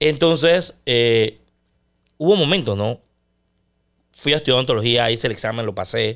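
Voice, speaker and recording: A man's medium-pitched voice, fairly quick in pace, with ordinary pitch variation over a quiet background. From Panama. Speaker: sports broadcaster; podcast guest. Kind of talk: casual chat. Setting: studio. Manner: loud; intense. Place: studio. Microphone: studio mic.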